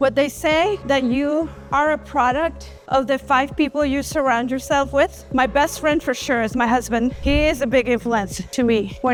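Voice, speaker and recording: A woman speaks at a moderate pace with a high pitch, ordinary pitch variation and very even loudness, hardly pausing. Music plays in the background. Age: 50s. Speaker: registered nurse. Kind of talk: interview answer.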